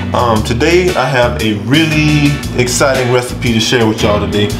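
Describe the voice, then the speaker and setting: Loud music fills the background. Over it, a man talks at a moderate pace. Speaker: cooking vlogger. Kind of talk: casual vlog chat. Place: kitchen. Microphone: camera far.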